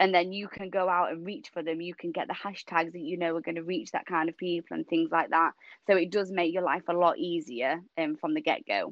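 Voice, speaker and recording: A woman with a northern English accent speaks in an animated tone at a fairly quick pace. Her pitch is fairly low, with ordinary variation. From Yorkshire, northern England. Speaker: personal trainer. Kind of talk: casual interview chat. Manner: animated, laughs often.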